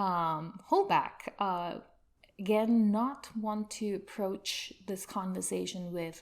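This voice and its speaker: Soft-spoken and very slow, a woman with an Indian accent talks at a medium pitch with ordinary pitch variation. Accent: Indian-sounding. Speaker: UX consultant. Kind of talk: podcast interview.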